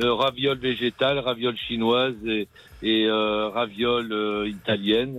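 The man speaks very slowly. His intonation stays flat and monotone. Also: medium pitch for a man. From Berry, central France. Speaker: restaurant chef. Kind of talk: radio interview.

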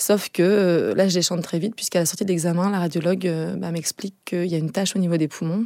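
This woman has an unremarkable speaking voice with a fairly low pitch. Her intonation stays fairly even at a moderate pace. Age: 30s. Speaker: mother with cancer. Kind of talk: testimony.

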